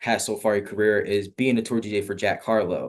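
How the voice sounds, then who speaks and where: Against a quiet background, a man talks at a fairly quick pace in a fairly low pitch with an unremarkable speaking voice. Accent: American. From New Jersey. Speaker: interview host. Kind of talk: interview.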